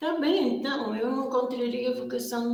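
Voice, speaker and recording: Very slow speech from a woman, audible room echo around it. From Portugal, Viseu region. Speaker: superior general of a religious order. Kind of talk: interview. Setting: exhibition room.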